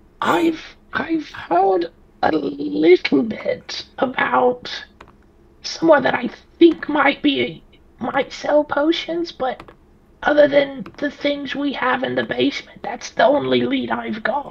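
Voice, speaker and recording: Extremely high pitch from a man, fairly slow pace and long, frequent pauses. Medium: actual play. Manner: resigned, dry, matter-of-fact.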